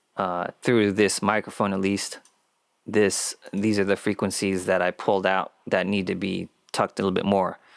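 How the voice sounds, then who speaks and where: Monotone, flat delivery at a moderate pace, in a very clean recording with a silent background and a dry, close sound with no echo. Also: man, fairly low pitch for a man. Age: 30s. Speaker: podcast host and audio engineer. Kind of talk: solo podcast monologue. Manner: halting.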